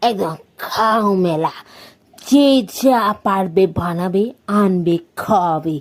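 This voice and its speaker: A cartoonish character voice at a middle pitch comes through on a very clean recording with a silent background. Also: female-sounding voice. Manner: chatty, boastful.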